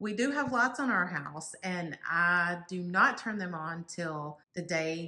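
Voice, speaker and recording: With a Texas accent, a woman speaks very slowly in a bright, sharp tone, her fairly low pitch carried by lively intonation. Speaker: home decor YouTuber. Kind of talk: casual decorate-with-me vlog narration. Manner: casual, chatty with fillers.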